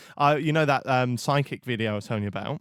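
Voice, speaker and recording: A man speaks at a medium pitch with a slight East Anglian accent. The recording is very clean, with a silent background. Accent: weak Norwich. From Norfolk, England (Norwich). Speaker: podcast host. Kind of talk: casual chat.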